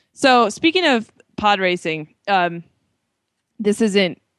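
Animated woman with lively intonation and a fairly slow pace, dry and close with no echo, against a quiet background. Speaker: podcast co-host. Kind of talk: casual chat. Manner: animated, laughs often.

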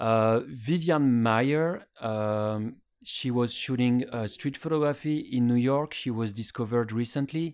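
A man with a French accent at a medium pitch, fairly slow pace, ordinary pitch variation and hardly any pauses, on a very clean recording with a silent background. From France. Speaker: photographer. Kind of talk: interview. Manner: halting, many fillers.

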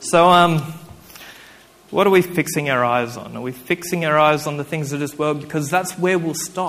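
A man with an Australian accent talks at a fairly high pitch with fairly even intonation. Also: moderate pace. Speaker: preacher. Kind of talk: sermon. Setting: church with congregation. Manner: halting, with frequent fillers.

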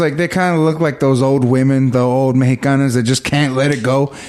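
A man with an American accent, fairly high pitch, very even loudness, a fairly quick pace and hardly any pauses, over noticeable background noise. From Texas, Victoria. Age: 30s. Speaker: comedian. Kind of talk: casual chat.

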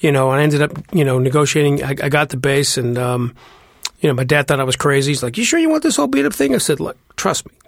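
A man rushes along at a very fast pace, his intonation fairly even. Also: fairly high pitch for a man. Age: 40s. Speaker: jazz bassist. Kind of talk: interview.

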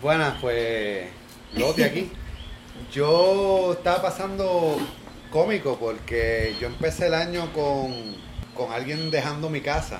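At a very slow pace and with long, frequent pauses, a man with a fairly high pitch speaks with lively intonation, with noticeable background noise and audible room echo. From Cuba. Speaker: salsa student. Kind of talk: casual chat.

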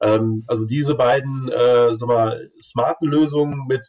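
A man at medium pitch talks with a somewhat breathy voice and fairly even intonation. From Germany, Cologne. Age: 40s. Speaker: grid regulation expert. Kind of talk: casual interview.

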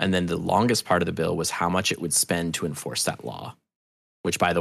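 A man's very deep, low voice moves along at a fairly quick pace. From New Hampshire. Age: 40s. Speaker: audio drama creator. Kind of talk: casual chat. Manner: animated.

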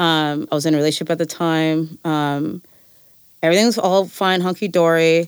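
A woman with a Californian accent speaks at a moderate pace in a fairly low pitch, her intonation fairly even and her loudness very even. The recording is very clean with a silent background. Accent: Californian American English. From California Central Valley (Fresno). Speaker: winemaker and farmer. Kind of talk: interview conversation. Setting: studio. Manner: halting, many fillers.

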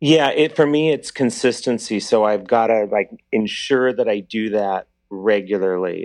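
A man with a plain, everyday voice speaks with ordinary pitch variation over a quiet background. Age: 50s. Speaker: caller. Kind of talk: call-in question.

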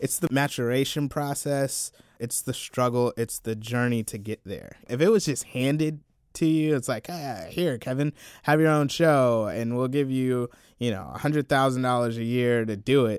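A normal speaking voice from a man at a medium pitch and moderate pace, with ordinary pitch variation, in a dry, close sound with no echo on a very clean recording with a silent background. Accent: American. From US South, Columbia, South Carolina. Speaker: video producer and film critic. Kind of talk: casual chat. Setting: studio.

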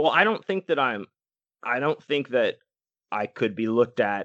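A man with a normal speaking voice delivers his words at a moderate speed and with lively intonation. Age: 40s. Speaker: podcast co-host. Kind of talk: casual chat.

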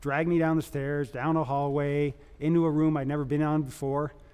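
This is an unremarkable speaking voice moving at a fairly quick pace. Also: man. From Canada. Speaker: epidemiologist. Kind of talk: panel talk, personal testimony. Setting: stage with audience.

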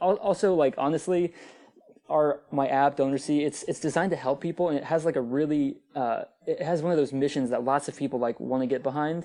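Fairly quick and fairly high-pitched, a man speaks with an American accent, a dark, mellow tone and ordinary pitch variation. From US, Northern Virginia. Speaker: app founder. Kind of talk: podcast interview.

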